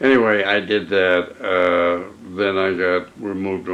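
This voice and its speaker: A man with a very deep, low pitch talks in a monotone, flat intonation. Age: 80s+. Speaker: WWII Navy veteran and painter. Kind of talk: interview answer. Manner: hesitant, halting.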